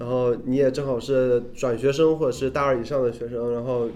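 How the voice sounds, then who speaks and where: A man speaks with a dark, mellow tone and a monotone, flat intonation. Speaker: student radio host. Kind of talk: casual chat.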